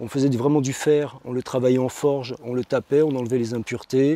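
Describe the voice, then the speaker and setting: In a dry, close sound with no echo, a man with a dark, mellow tone speaks at a moderate pace and medium pitch. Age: 50s. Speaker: tool restorer and market seller. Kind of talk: interview. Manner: hesitant, many fillers and repetitions.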